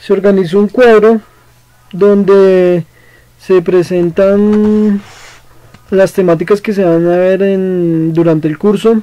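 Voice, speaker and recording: Very slowly and in a monotone, flat intonation, a man speaks at a high pitch. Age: 20s. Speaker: student. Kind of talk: course presentation. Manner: halting, with fillers.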